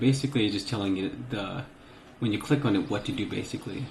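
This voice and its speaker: The man's somewhat breathy voice carries audible room echo. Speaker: gaming tutorial youtuber. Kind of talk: screen-recorded tutorial. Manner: casual with many fillers.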